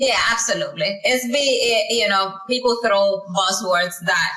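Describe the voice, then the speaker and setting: A woman with a Spanish accent, moderate pace and ordinary pitch variation. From Dominican Republic. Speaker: tech education founder, former banker. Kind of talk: interview. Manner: halting, many false starts.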